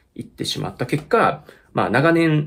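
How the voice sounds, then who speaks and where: This man speaks with vocal fry. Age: 30s. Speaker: YouTuber and musician; vlogger. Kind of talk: casual chat. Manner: halting; laughs often. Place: home room. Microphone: phone near.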